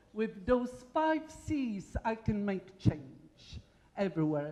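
A woman's dark, mellow tone with a Polish accent, very slow and full of very wide pitch swings. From Poland. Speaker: engineering professor. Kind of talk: conference talk. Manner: animated.

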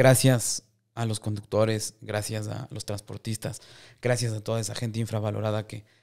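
A man's monotone, flat delivery at a moderate pace against a quiet background. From Ecuador, Riobamba; Ecuador. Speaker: podcast host. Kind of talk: interview. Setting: studio. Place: studio. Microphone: studio mic.

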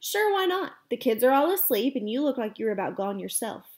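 The speaker uses a natural reading voice throughout.

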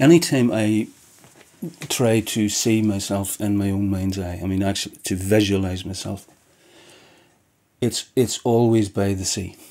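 Speaking in a Northern Irish accent with a dark, mellow tone, the voice keeps a fairly slow pace and fairly even intonation, broken by long, frequent pauses. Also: man, fairly low pitch for a man. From Northern Ireland, County Down; Northern Ireland. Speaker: poet. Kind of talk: interview answer. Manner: halting. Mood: reflective, calm. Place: home room.

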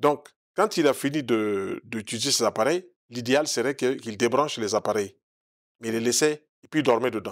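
The setting is quiet. A man talks at a moderate pace, his pitch varying in an ordinary way. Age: 60s. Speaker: naturopath; interview guest. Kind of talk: TV interview. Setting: TV studio. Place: studio. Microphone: lapel.

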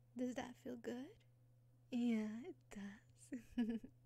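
Soft-spoken delivery at a very slow pace, dry sound with no echo. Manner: soft, tender ASMR roleplay voice. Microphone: studio mic.

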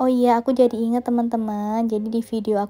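Her tone dark and mellow, a woman speaks at a fairly high pitch. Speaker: home cooking vlogger. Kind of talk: casual vlog cooking narration. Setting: home kitchen. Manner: chatty, friendly.

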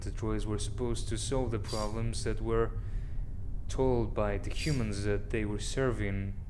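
Noticeable background noise is present. Through it, a man talks fairly slowly. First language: not English. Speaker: let's player. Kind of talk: casual gameplay commentary. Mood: calm, slightly somber. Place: home room.

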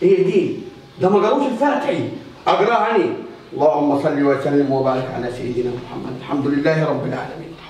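Lively intonation marks this man's speech. Light background noise and audible room echo can be heard. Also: moderate pace. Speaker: host father in skit. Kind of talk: acted dialogue in colloquial dialect. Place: home room. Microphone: camera far.

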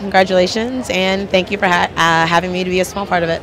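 A woman speaks at a moderate pace in a dry sound with no echo, noticeable background noise behind her. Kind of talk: interview answer. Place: hall. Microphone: handheld.

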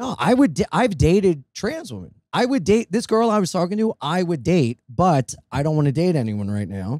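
A man with an American accent at a moderate pace, high-pitched, with very wide pitch swings and hardly any pauses, in a dry sound with no echo against a quiet background. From Delaware, US. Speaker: touring comedian and podcast host; touring comedian, podcast host. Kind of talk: casual chat. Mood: jokey, irreverent. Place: home room. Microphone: handheld.

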